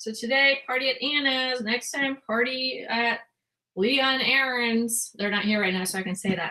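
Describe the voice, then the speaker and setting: High in pitch, a woman speaks with ordinary pitch variation. Her pace is moderate. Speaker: online reseller and live stream host. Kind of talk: casual live stream chat. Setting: live video hangout.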